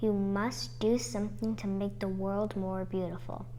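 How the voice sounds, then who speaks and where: In a put-on character voice, the speaker talks at a moderate pace over clear background noise. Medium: read story.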